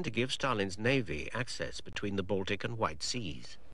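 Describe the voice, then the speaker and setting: Vocal fry runs through a man's fairly low voice, which carries lively intonation. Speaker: documentary narrator. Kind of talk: 1990 documentary narration. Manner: formal, measured, grave; even, authoritative.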